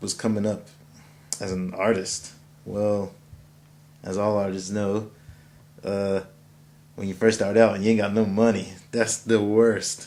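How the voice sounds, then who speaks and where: A quiet man's voice, dark and mellow in tone, fairly low in pitch, with monotone, flat intonation at a fairly slow pace. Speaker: musician. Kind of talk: self-interview. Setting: editing suite. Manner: casual.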